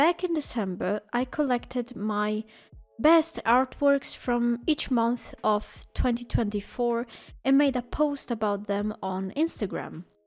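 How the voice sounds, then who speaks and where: A woman speaks at a very slow pace with a high pitch. Music plays in the background. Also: ordinary pitch variation. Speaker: digital illustrator. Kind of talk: casual talk to camera.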